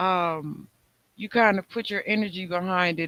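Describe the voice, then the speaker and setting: A man speaks very slowly in a raised, projected voice, pitched high for a man. His tone is bright and sharp, his intonation fairly even, and the sound is dry and close with no echo. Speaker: talk show host. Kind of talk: casual chat.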